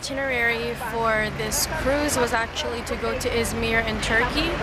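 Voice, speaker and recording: Over loud background noise, a woman speaks at a moderate pace with a dry sound and no echo. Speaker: travel vlogger. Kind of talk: casual vlog chat. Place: waterside. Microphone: phone near.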